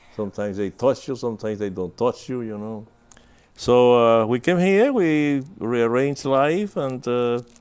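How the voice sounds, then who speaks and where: A man with a Spanish accent speaks in a medium pitch with lively intonation. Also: moderate pace. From Cuba, Havana. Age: 90s. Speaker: composer and emeritus professor. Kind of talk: interview.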